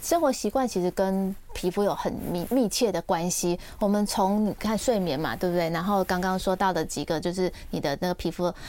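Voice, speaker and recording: With a dark, mellow tone, a woman speaks at medium pitch and a moderate pace, using ordinary pitch variation. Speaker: dermatologist and author. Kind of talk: radio interview. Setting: radio studio, also streamed live. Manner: gentle, soft-spoken.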